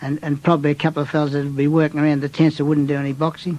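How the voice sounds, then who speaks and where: Talking at a very fast pace in an Australian accent, a man keeps a fairly high pitch and monotone, flat intonation. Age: 70s. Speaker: retired boxer. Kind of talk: interview reminiscence. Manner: halting, with many restarts.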